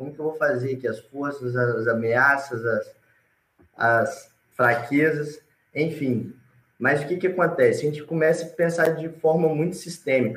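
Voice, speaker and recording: A man speaks in a normal speaking voice at a fairly high pitch and fairly slow pace, with ordinary pitch variation. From Espírito Santo, Brazil (Alegre). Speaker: reforestation business founder. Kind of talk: live panel interview.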